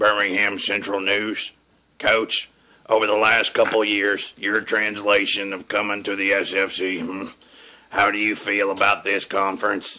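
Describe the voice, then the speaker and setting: Using a put-on character voice, a man speaks in a raspy, fairly low, flat monotone at a moderate pace. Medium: comedy sketch.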